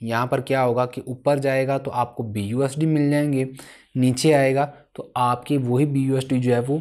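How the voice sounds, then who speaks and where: A man talks at a moderate pace and medium pitch in a monotone, flat intonation. The recording is very clean, with a silent background. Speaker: crypto trading educator. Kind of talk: tutorial.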